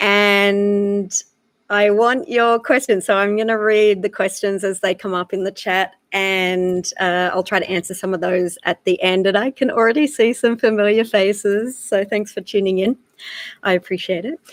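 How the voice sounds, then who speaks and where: A woman with an Australian accent, medium pitched, at a moderate pace with fairly even intonation, in a dry, close sound with no echo. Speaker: wildlife photographer. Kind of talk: live online talk.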